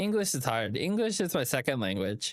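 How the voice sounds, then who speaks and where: A man talks with lively intonation. The recording is very clean and dry, close with no echo, over a silent background. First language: Vietnamese. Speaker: gaming streamer. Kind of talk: live stream chat while gaming. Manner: halting, many fillers; casual, friendly.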